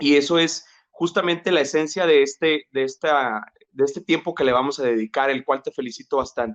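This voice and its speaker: In a normal speaking voice, a man talks at a fairly quick pace with fairly high pitch and ordinary pitch variation, the sound dry and close with no echo. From Mexico, Jalisco (Tuxpan), moved to Monterrey at 12. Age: 30s. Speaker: psychologist, labor relations specialist. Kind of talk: interview conversation. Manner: many fillers and repetitions.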